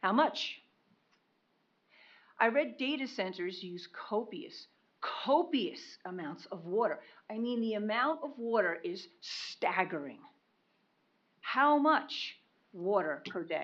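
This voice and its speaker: Speaking very slowly with long, frequent pauses, a woman uses a fairly high pitch with very wide pitch swings and big swings in loudness. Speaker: public commenter. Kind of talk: public comment at meeting. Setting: county commission meeting.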